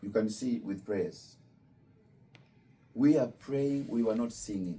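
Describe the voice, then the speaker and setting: A man speaks at a medium pitch with a dark, mellow tone. His pace is fairly slow. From Kenya. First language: Luo. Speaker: imam. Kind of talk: religious talk to visitors. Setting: Islamic center with student visitors.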